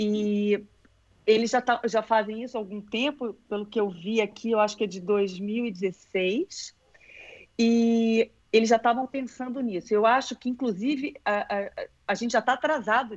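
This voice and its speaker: A woman's fairly high-pitched voice with ordinary pitch variation and big swings in loudness. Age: 50s. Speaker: dance teacher and former ballerina. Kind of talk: casual interview. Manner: unhurried, pleasant delivery.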